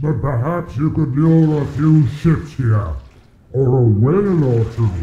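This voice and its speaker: Someone speaks in a put-on character voice at a fairly slow pace. There is a slight echo. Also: man, fairly high pitch for a man. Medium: video game.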